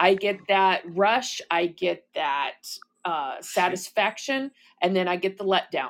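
At a fairly slow pace, a woman speaks in a normal speaking voice with a medium pitch and ordinary pitch variation. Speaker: caller, fellow podcaster, veteran. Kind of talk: casual live chat.

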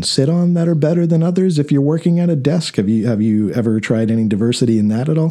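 At a fairly quick pace, a man talks in an ordinary speaking voice with lively intonation. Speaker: podcast host. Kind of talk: casual interview chat. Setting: studio. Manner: conversational, informal.

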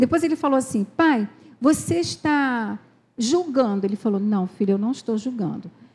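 A woman speaks at a fairly high pitch with lively intonation. Her tone is dark and mellow, and somewhat breathy. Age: 60s. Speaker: pastor's wife. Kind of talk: sermon.

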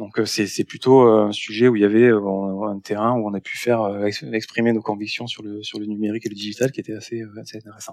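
A man talks at a fairly quick pace with monotone, flat intonation and big swings in loudness. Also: fairly low pitch for a man. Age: 40s. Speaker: startup founder. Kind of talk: interview. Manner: halting, many repetitions.

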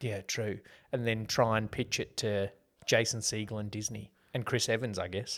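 In an Australian accent, a man with a fairly low voice speaks at a moderate pace in a flat monotone, on a very clean recording with a silent background. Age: 30s. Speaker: podcast co-host, movie reviewer. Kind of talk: casual chat.

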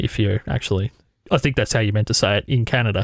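With an Australian accent, a man talks at a very fast pace and a medium pitch, the sound dry and close with no echo. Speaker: podcast host and editor. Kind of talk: casual interview. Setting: video call. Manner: fast talker.

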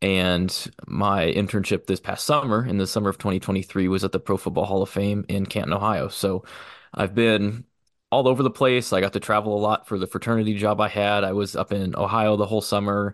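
A man with a Midwestern US accent speaks at a fairly quick pace in a fairly low voice, his intonation fairly even and his loudness very even, the sound dry and close with no echo over a quiet background. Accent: US Midwest. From Missouri, Kansas City area. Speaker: sports museum graduate student. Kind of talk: casual chat.

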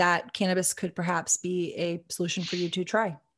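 A woman speaks in a normal speaking voice at medium pitch. Her pace is fairly quick, and the background is quiet. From Texas. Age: 30s. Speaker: cannabis business co-founder. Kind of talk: podcast interview.

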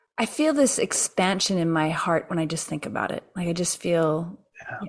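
This woman has an unremarkable speaking voice. Her pitch sits fairly low. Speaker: podcast host. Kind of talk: interview conversation, warm and spiritual. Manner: warm, encouraging.

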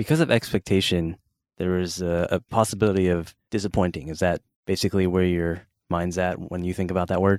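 A very deep, low-pitched man's voice with an American accent, fairly quick and fairly even in intonation, on a very clean recording with a silent background. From Cupertino, California. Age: 30s. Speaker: podcast host. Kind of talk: casual interview.

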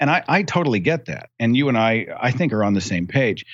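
At a fairly quick pace, a man talks in an ordinary speaking voice at medium pitch with lively intonation. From United States. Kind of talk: casual chat.

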